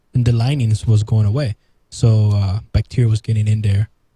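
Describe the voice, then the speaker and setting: Dry and close with no echo, a man's somewhat breathy voice carries a dark, mellow tone. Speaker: show co-host and producer. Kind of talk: casual chat.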